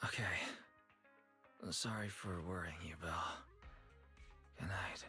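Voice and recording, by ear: A raspy, put-on character voice with a very deep, low pitch at a fairly slow pace, long, frequent pauses and clear music in the background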